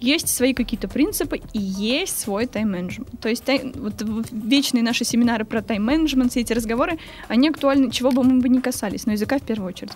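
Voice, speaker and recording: A woman's high voice at a very fast pace with ordinary pitch variation, music in the background. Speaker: language teacher and translator, medievalist student. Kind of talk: casual interview.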